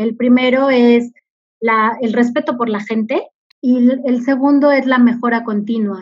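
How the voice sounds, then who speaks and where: Fairly even intonation from a woman, high in pitch and fairly slow in pace. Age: 40s. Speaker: corporate communications director. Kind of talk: interview.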